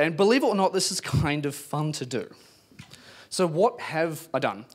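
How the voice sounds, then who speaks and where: A man with a New Zealand accent against a quiet background. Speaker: PhD student in palaeontology; speaker. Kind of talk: public science talk. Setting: pub event with live audience. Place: bar. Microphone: handheld.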